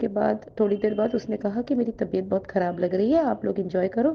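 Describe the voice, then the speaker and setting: At a moderate pace, a woman with a Bengali accent speaks at a medium pitch with vocal fry. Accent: Bengali-accented Hindi. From West Bengal, India (Kolkata). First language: Bengali (speaking Hindi). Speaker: devotee sharing a testimony. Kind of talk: testimony. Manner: halting, with fillers.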